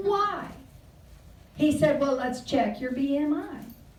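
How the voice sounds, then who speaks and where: A woman speaks with an American accent, animated in tone and lively in intonation. Audible room echo surrounds her voice. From California. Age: 70s. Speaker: luncheon speaker. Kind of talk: humorous talk.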